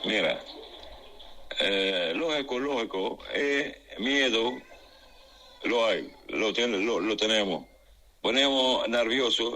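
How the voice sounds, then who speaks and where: A man talks at a very slow pace. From Gaza Strip. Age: 60s. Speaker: civil engineer and humanitarian worker. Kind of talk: interview. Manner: halting.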